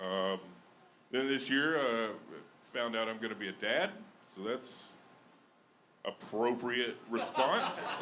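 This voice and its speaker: Speaking very slowly with long, frequent pauses, a man with an American accent uses a medium pitch and ordinary pitch variation, with noticeable background noise and audible room echo. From Alabama. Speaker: stand-up comedian. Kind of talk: stand-up. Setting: stage with audience.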